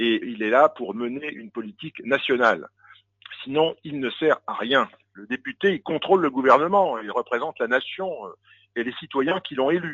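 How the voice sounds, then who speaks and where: A man with an ordinary speaking voice talks at a moderate pace in a fairly high pitch. His intonation is lively, with big swings in loudness. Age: 60s. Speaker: politician. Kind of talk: radio interview.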